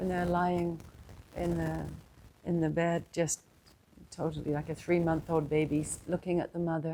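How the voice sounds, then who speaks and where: With a dark, mellow tone and fairly low pitch, a woman talks in a monotone, flat intonation at a moderate pace, with long, frequent pauses. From New Zealand. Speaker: spiritual teacher. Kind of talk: satsang talk.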